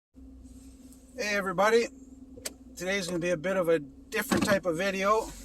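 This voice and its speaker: A man's high voice, varying in pitch in an ordinary way, moves at a moderate pace. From Canada. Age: 50s. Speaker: vlogger in recovery from alcohol. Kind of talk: casual vlog monologue. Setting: in a car while driving. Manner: halting, with fillers and restarts.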